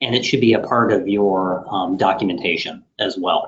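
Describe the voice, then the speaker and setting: A man with a fairly low pitch and fairly even intonation. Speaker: IT services director presenting a webinar. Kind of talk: webinar presentation. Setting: online webinar. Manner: fast.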